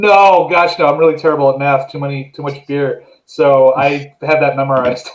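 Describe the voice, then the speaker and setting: An unremarkable speaking voice belongs to a man with an American accent, fairly high pitch, fairly even intonation and a moderate pace. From USA. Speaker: beer vlogger and show host. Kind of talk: casual chat. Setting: live video call.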